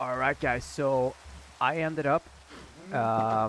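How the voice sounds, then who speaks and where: This is a man speaking. He has a Swedish accent. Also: dry, close sound with no echo. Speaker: gaming YouTuber. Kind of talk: gameplay commentary. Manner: halting.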